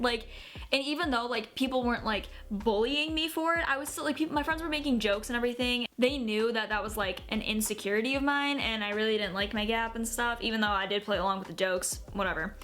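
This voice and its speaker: A woman talks at a very fast pace with a fairly high pitch and ordinary pitch variation. Noticeable background noise runs underneath. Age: 20s. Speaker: YouTuber. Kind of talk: casual vlog. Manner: casual, filler-heavy.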